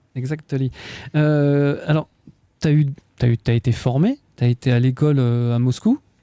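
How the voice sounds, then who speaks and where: A man's fairly high, dark, mellow voice at a fairly slow pace, with long, frequent pauses, very even loudness, fairly even intonation, and a dry, close sound with no echo. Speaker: radio host. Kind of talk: radio interview. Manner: halting.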